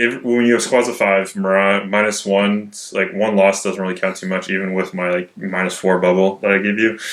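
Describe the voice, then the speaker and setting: A quiet man speaks at a fairly low pitch and a fairly quick pace. His intonation is flat and monotone. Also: hardly any pauses. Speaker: tabletop wargame player. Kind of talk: casual chat.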